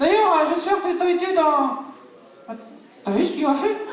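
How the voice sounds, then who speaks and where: A man puts on a cartoonish character voice at an extremely high pitch. He goes at a moderate pace, with a slight echo. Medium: puppet. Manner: insolent, crude.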